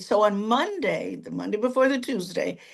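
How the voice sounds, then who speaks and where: Over noticeable background noise, a woman speaks in an animated tone at a fairly high pitch and a moderate pace. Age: 70s. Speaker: counselor and minister. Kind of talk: interview testimony. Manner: animated storytelling.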